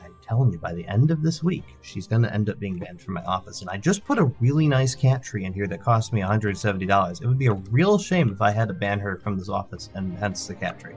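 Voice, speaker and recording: Over music in the background, a man with a fairly low pitch talks at a very fast pace, using lively intonation and big swings in loudness. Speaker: gaming streamer. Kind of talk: live gameplay commentary. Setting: home office stream room with sound padding. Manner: casual, chatty.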